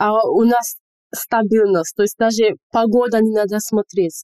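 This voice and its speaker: A woman with a slight Nigerian accent talks in a fairly high voice. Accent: slight Nigerian accent in Russian. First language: English (speaking Russian). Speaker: medical student and English teacher. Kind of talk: casual interview chat. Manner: animated.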